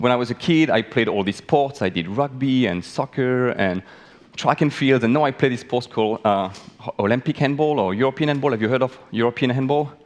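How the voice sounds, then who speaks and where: A man with a French accent talks at a fairly quick pace in an animated tone. His medium pitch shows ordinary variation. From France. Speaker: biologist. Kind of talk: talk to live audience. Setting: stage with audience.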